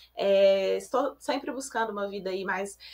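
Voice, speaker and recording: In a Belo Horizonte accent, a woman with a bright, sharp tone speaks at a fairly slow pace with fairly even intonation. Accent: Belo Horizonte (mineiro). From Belo Horizonte, Brazil. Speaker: podcast co-host, corporate education analyst. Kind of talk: podcast interview. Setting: video call from home office.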